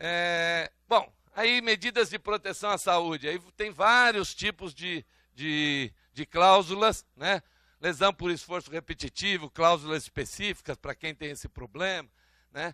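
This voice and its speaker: A man with a high pitch speaks at a fairly slow pace, the sound dry and close with no echo. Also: ordinary pitch variation. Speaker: trade union speaker. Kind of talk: conference talk. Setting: conference hall with audience. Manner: halting, many fillers.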